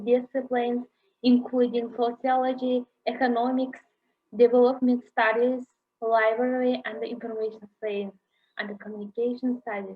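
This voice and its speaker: A woman with a Kazakh accent speaks in a high voice with monotone, flat intonation. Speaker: university lecturer. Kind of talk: lecture. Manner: halting.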